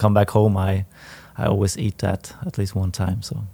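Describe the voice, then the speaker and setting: With a Swedish accent, a man talks at a fairly low pitch. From northern Sweden. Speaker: professional footballer. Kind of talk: interview. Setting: stadium.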